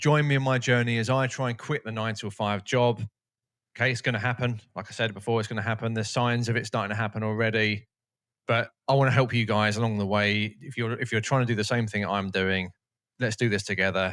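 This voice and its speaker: An energetic, very fast delivery in a British accent, on a very clean recording with a silent background. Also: man, medium pitch for a man. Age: 40s. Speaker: YouTuber, no-code SaaS founder. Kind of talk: casual vlog tutorial. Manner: casual, energetic.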